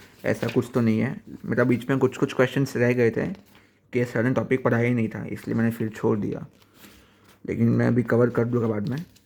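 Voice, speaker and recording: At a moderate pace, a man talks in a medium pitch with vocal fry and fairly even intonation. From Gujarat, India. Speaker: student vlogger. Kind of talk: casual vlog. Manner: halting.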